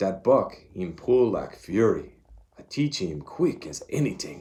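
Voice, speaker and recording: A man does a gruff, put-on character voice in a French-Canadian accent. His pitch is medium and his pace fairly slow. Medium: read story. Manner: gruff, broken English.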